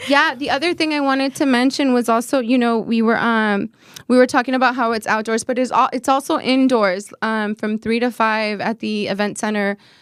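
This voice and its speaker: A woman talks at a fairly quick pace with hardly any pauses, her pitch fairly high. The recording is very clean, with a silent background. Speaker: community event organizer. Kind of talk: radio talk show interview. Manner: halting, self-correcting; animated.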